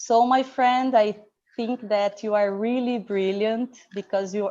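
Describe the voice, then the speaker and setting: Against a quiet background, a woman with a Portuguese accent speaks very slowly at a medium pitch, her tone dark and mellow and her intonation fairly even. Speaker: academic session moderator. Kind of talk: formal introduction. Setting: live online session.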